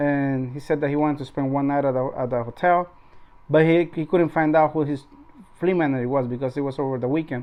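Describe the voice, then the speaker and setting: Fairly high in pitch, a man talks at a very fast pace with a non-native accent. His intonation is fairly even. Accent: non-native English accent, noticeable. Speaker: truck driver and YouTuber. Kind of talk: casual vlog talk. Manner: halting, many repetitions.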